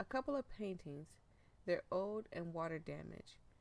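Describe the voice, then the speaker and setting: A woman uses a plain, everyday voice at a fairly low pitch, with lively intonation. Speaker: gaming youtuber. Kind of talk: let's play commentary with reading game text aloud. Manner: casual, filler-heavy.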